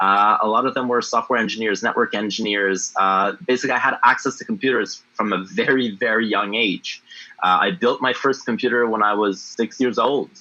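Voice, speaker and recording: In a French accent, the speaker talks with hardly any pauses, very even loudness and ordinary pitch variation. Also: man, medium pitch for a man, fairly quick pace. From Canada, Ottawa (Francophone, Ontario-Quebec border). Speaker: blockchain entrepreneur. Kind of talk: interview. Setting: livestream AMA.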